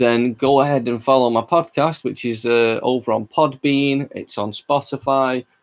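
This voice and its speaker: Speaking with a Mancunian accent, this voice moves at a fairly slow pace. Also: man. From Manchester, England. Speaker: podcast host. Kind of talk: casual chat. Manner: hesitant, filler-heavy.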